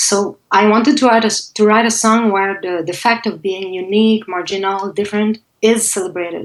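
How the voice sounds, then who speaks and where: Speaking in a Quebec accent, a woman keeps a medium pitch, fairly even intonation, and a moderate pace. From Quebec (Montreal). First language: French. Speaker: singer-songwriter. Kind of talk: interview.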